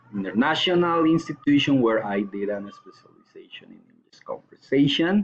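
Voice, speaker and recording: Through noticeable background noise, a man with a Colombian accent speaks at medium pitch. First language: Spanish. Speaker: language student and English teacher. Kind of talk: recorded course assignment answering questions. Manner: hesitant, with fillers.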